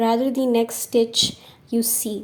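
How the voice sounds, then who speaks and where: High-pitched yet dark and mellow in tone, a woman speaks at a fairly slow pace. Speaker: crochet teacher. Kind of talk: craft tutorial voice-over. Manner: upbeat, friendly.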